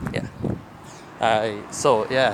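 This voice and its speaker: Over noticeable background noise, a man talks very slowly. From Brazil. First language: Portuguese. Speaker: content creator. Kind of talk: vent video. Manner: halting.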